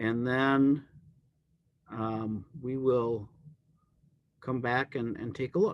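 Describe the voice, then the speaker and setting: A man at medium pitch speaks very slowly with fairly even intonation and long, frequent pauses. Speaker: math teacher. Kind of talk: lecture. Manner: halting, many fillers.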